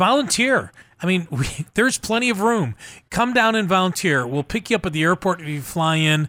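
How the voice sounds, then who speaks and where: In a very clean recording with a silent background, a man with a high pitch talks at a fairly quick pace in a raised, projected voice, his tone bright and sharp and his intonation lively. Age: 60s. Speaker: radio host of faith-based disaster relief show. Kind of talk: casual radio interview. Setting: radio broadcast.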